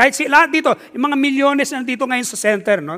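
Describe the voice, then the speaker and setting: A man's extremely high, bright and sharp voice, raised and projected, animated and energetic, at a very fast pace with ordinary pitch variation. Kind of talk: sermon. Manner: animated, energetic, call-and-response with the congregation; Taglish, conversational, warm and humorous.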